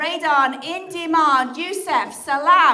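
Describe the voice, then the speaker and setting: A woman speaks in a raised, projected voice. The room echo is audible, and there is noticeable background noise. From England. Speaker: comedian. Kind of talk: stand-up; livestream chat. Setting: livestream. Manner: animated.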